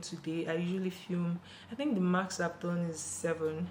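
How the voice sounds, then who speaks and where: A quiet woman speaks at a fairly low pitch with fairly even intonation over noticeable background noise. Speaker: beauty YouTuber. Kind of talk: casual tutorial vlog. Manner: speaking quietly.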